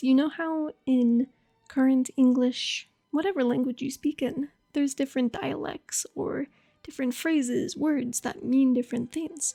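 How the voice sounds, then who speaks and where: Music plays in the background as a soft-spoken woman talks at a high pitch. She goes at a fairly slow pace with ordinary pitch variation. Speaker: voice actor. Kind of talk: educational history narration. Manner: casual.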